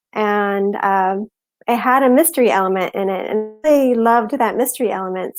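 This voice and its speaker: At a moderate pace, a woman with a Midwestern accent speaks in a fairly high pitch with fairly even intonation, the sound dry and close with no echo. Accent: Midwest. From US Southwest and Massachusetts. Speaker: novelist. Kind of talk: interview.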